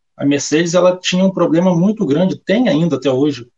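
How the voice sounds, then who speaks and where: Moderately paced, the man's speech shows ordinary pitch variation. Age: 20s. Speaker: motorsport betting tipster. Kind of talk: casual interview.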